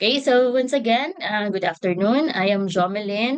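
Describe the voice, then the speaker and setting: There is noticeable background noise as a woman speaks with a Visayan Filipino accent. Her pace is moderate and her pitch varies in an ordinary way. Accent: Filipino (Cebuano) English. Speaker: ecotourism association member. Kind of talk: webinar presentation. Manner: hesitant, many fillers.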